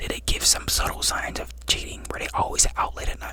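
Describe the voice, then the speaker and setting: A man whispers at a very fast pace. Noticeable background noise can be heard. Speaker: ASMR creator. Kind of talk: advice talk to camera, ASMR-style. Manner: conversational, reassuring.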